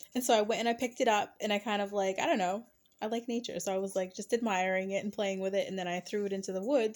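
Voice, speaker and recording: A woman's fairly high voice at a very fast pace, with ordinary pitch variation, on a very clean recording over a silent background. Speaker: spiritual card reader and storyteller. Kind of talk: casual storytelling monologue. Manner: filler-heavy, uses um and like.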